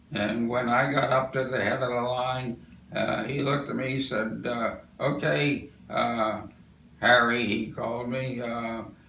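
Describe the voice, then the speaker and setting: With an American accent, a man of medium pitch speaks at a fairly slow pace with fairly even intonation, amid audible room echo and noticeable background noise. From US Northeast. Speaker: war veteran. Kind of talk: oral history interview. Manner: halting.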